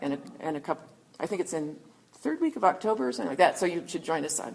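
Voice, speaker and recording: At a very fast pace, a woman speaks in an animated tone. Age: 60s. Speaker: historian and author. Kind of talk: book talk Q&A answer.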